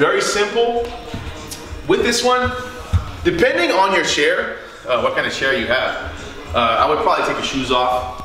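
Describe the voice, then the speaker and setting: Over clear music in the background, a man talks at a fairly quick pace with audible room echo. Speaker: fitness trainer. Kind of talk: tutorial. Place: home room.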